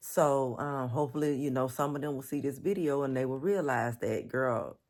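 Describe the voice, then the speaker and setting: A woman's very deep, low voice in an animated tone, at a moderate pace, on a very clean recording with a silent background. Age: 40s. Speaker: lifestyle vlogger. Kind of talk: casual vlog talk to camera. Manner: animated, conversational.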